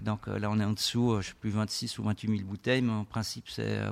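A man's fairly low voice, flat and monotone, at a fairly quick pace. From French-speaking Switzerland (Lausanne). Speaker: winery owner and tech entrepreneur. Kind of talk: radio interview. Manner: hesitant, many fillers.

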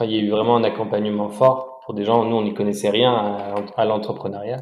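Delivered at a fairly quick pace, the speech stays monotone and flat throughout. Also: man. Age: 30s. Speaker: entrepreneur. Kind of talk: casual interview. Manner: halting, repeats words.

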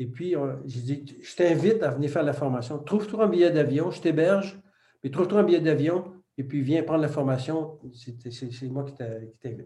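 Somewhat breathy and dark, mellow in tone, a man with a fairly high pitch talks at a moderate pace, his loudness swinging widely amid audible room echo. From Quebec. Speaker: retired photographer and business coach, ex-military. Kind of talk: interview.

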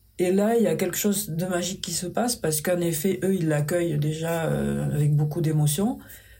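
Speech moves at a fairly quick pace with hardly any pauses. Pitch variation is ordinary. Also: woman, fairly low pitch for a woman. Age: 50s. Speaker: paper sculptor and craftswoman. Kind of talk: interview conversation. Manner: gentle, soft.

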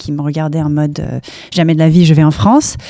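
A woman speaks very fast in a very deep, low voice, her tone dark and mellow and her intonation flat and monotone. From US, Palo Alto, California. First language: English (speaking French). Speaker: startup campus director. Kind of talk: interview. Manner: halting.

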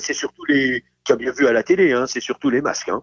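A man speaking at a fairly quick pace. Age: 60s. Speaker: hospital gynecologist. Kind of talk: casual chat. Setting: phone call. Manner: halting.

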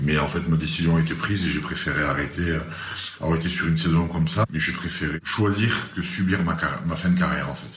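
A man speaks at a fairly quick pace in a very deep, low voice. Room echo is audible, and there is noticeable background noise. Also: fairly even intonation. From southwest France, Tarn-et-Garonne. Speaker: former rugby player. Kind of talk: interview. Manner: halting, many repetitions and hesitations.

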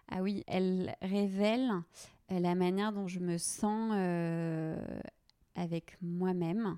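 Speaking very slowly at a medium pitch, a woman with a dark, mellow tone keeps a fairly even intonation and leaves long, frequent pauses. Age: 20s. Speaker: personal stylist and podcaster. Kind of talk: casual interview.

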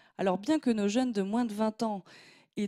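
A dark, mellow female voice, dry and close with no echo. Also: very clean recording, silent background. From southwest France, Gironde countryside. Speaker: opinion columnist. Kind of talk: scripted opinion piece.

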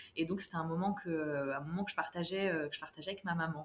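A woman at medium pitch and a fairly quick pace. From France. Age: 30s. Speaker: travel planner. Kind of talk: podcast interview. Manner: hesitant, many fillers.

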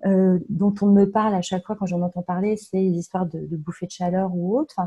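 The tone comes across dark and mellow. There is a somewhat breathy quality to the voice. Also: woman. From France, Touraine (Tours). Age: 40s. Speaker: coaching client. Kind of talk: testimony. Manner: halting.

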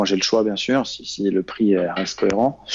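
A man talks with fairly even intonation. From Normandy, France. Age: 30s. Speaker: trader and trading coach. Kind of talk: interview. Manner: halting, many fillers and repetitions.

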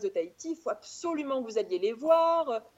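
Fairly quick pace and lively intonation. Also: woman. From France, Auvergne (Clermont-Ferrand). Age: 30s. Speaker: travel blogger. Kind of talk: casual chat.

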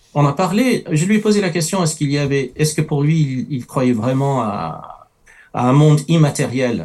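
Somewhat breathy, a man with a non-native accent and fairly high pitch talks at a moderate pace with lively intonation. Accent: noticeable foreign. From France, early childhood in the Middle East. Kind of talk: testimony in a talk show.

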